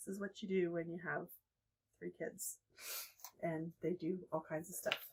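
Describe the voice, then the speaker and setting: Soft-spoken and fairly slow, the speech has fairly even intonation and long, frequent pauses. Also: woman, fairly low pitch for a woman. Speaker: furniture refinishing DIY creator. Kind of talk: tutorial. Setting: on porch at night.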